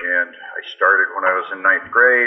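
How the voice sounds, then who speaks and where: The speaker talks at a moderate pace with a Canadian accent. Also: man. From Canada. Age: 60s. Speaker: fitness writer and strength athlete. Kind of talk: interview.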